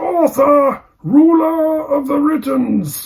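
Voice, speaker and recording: A man talks with very wide pitch swings. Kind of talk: deadpan literary reading. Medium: read story. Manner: measured, dry, with thoughtful hums.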